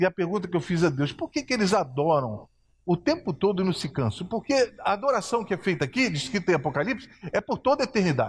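A very fast, animated man's voice, high in pitch with very wide pitch swings, on a very clean recording with a silent background. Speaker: preacher. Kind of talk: sermon with Bible reading, live church service. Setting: church. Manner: animated, fervent, exhortative; conversational, asks the congregation for responses.

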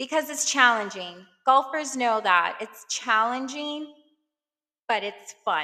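Someone with a New York accent talks at a fairly slow pace, using a bright, sharp tone and lively intonation. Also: woman. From Brooklyn, New York. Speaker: podcast host. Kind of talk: casual monologue. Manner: hesitant, frequent fillers.

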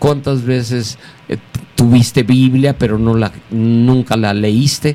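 At a very slow pace, a man speaks in a medium pitch with fairly even intonation. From Mexico City. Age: 60s. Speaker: pastor. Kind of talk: interview. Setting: studio.

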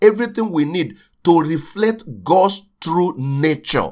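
A man speaks at a fairly slow pace. His pitch sits fairly high and moves in big swings.

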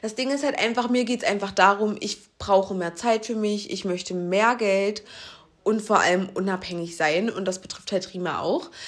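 In a plain, everyday voice, a woman speaks at a moderate pace with medium pitch and ordinary pitch variation. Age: 20s. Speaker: podcast co-host. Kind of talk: casual chat.

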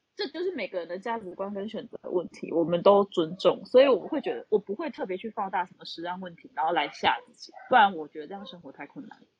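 Lively intonation marks a woman's medium-pitched voice, delivered at a very fast pace. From Taiwan, Tainan. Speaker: accountant. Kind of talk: casual chat. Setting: online audio room.

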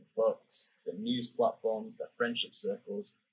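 A man talks with a British accent at a moderate pace. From UK. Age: 20s. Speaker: podcast host. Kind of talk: casual interview chat.

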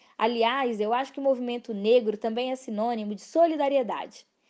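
Over a quiet background, a woman with a Minas Gerais accent speaks in a dark, mellow tone at a fairly high pitch. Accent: Minas Gerais Brazilian Portuguese. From Brazil, Belo Horizonte. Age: 20s. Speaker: political candidate. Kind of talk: campaign monologue.

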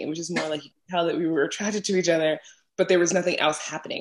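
The speaker races along at a very fast pace in a New York accent. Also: woman. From New York City, Brooklyn. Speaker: podcaster and travel content creator. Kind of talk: casual interview chat.

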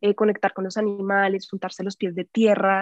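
The sound is dry and close, with no echo. A woman is speaking. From Colombia, Bogotá. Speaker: actress and healing coach. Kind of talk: casual interview.

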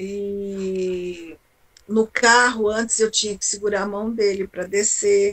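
Speaking very slowly, a woman holds a medium pitch with monotone, flat intonation. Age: 60s. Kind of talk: testimony. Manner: halting.

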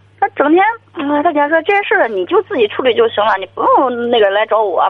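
Noticeable background noise sits behind a woman speaking at a fairly quick pace. Her high voice moves through very wide pitch swings. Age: 30s. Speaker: sales manager. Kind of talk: phone-in call. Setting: phone call.

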